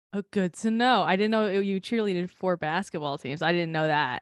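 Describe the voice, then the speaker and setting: Against a quiet background, a woman with an American accent speaks with lively intonation, the sound dry and close with no echo. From New Jersey. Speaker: podcast co-host. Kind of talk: casual chat. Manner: fast.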